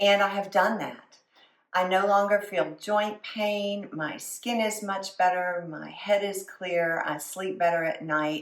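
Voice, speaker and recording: A woman at medium pitch, speaking at a very slow pace with fairly even intonation. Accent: Southern US. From US South. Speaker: food and lifestyle vlogger. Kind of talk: casual vlog talk to camera.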